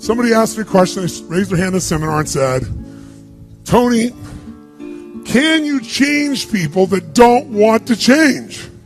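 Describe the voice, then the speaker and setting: A man speaks at a moderate pace in an energetic tone. Music plays in the background. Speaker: motivational speaker. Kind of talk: live seminar motivational speech to an audience. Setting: live seminar room with audience. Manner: energetic, emphatic, audience-interactive.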